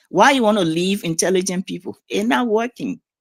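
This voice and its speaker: A woman with a Liberian accent, an animated tone and lively intonation, in a dry, close sound with no echo. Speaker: community figure interviewed on a talk show. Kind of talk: casual interview. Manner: blunt, animated.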